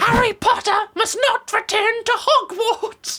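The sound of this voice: A squeaky, put-on character voice sits at an extremely high pitch. The delivery comes at a fairly slow pace.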